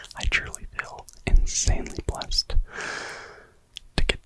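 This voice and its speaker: Over noticeable background noise, a man whispers in a relaxed tone. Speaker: ASMR creator. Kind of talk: whispered ASMR ramble to camera. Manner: whispered, slow, relaxed.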